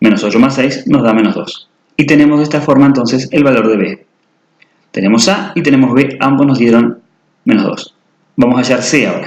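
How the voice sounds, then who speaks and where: A man talks at a fairly quick pace at a medium pitch. His pitch varies in an ordinary way. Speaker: math teacher. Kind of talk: tutorial. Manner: fast.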